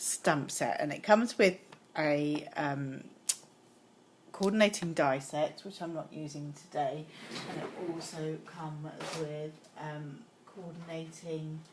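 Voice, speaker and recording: A British accent at a very slow pace, with long, frequent pauses and noticeable background noise. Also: woman, very deep, low pitch for a woman, ordinary pitch variation, big swings in loudness. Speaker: card-making demonstrator. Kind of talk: live craft tutorial. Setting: Facebook Live stream. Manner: hesitant, many 'um' fillers.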